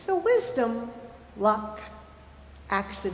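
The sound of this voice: The voice reads in an unforced way.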